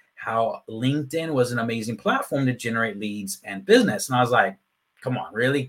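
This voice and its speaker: A man with a Texan accent speaks with ordinary pitch variation. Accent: Texan American English. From Texas. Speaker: LinkedIn marketing consultant. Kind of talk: interview.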